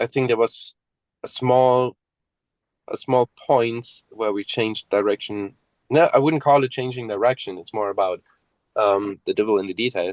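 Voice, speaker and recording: The voice moves at a moderate pace with long, frequent pauses and ordinary pitch variation, in a dry, close sound with no echo. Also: man, medium pitch for a man. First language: German. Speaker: death metal musician. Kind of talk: interview.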